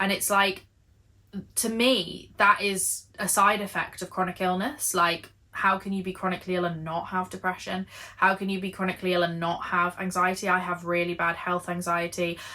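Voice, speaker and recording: Bright and sharp in tone, a woman speaks with an English accent at a medium pitch. Her moderate-paced delivery is monotone and flat. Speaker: knitting and lifestyle vlogger. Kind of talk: casual chat.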